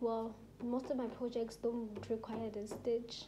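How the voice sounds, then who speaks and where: Amid noticeable background noise and audible room echo, a woman speaks at a high pitch and a fairly slow pace. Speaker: crochet tutorial creator. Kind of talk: tutorial. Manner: casual, filler-heavy; slow, deliberate demonstration.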